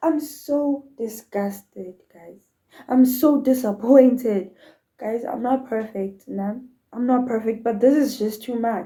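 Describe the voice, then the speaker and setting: The pace is very slow, with big swings in loudness. A woman speaks in a high pitch with a dark, mellow tone and ordinary pitch variation. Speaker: YouTuber reacting to videos. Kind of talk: reaction video commentary. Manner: animated.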